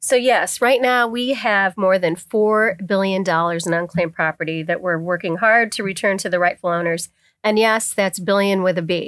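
With an American accent, a woman uses an unremarkable speaking voice at medium pitch, with ordinary pitch variation, a moderate pace and hardly any pauses. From Pennsylvania, Bradford County (rural northern tier). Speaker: state treasurer, Army Reserve veteran. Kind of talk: interview.

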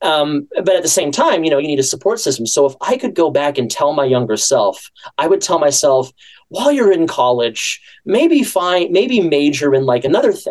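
A man speaks at a high pitch. His moderate pace carries very wide pitch swings. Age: 30s. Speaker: voice actor and podcast creator. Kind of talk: radio interview. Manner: halting.

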